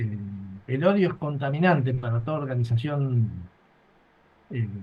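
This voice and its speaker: At a moderate pace, a man speaks in a somewhat breathy voice at medium pitch with ordinary pitch variation. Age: 70s. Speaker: retired army colonel, war veteran, author. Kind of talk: interview. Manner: halting, with many repetitions and fillers.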